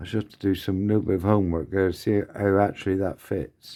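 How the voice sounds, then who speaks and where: A man mumbles at a moderate pace in a fairly low voice. His tone is dark and mellow, on a very clean recording with a silent background. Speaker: scale model builder. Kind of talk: casual build tutorial. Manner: mumbling.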